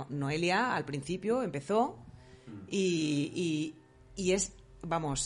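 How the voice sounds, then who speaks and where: A woman's fairly low voice with ordinary pitch variation, music playing behind her. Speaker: psychologist. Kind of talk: interview.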